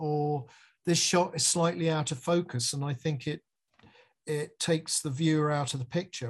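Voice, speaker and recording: A fairly high, somewhat breathy male voice with an English accent, fairly even intonation and a moderate pace, against a quiet background. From England. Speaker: music video director. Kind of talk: interview.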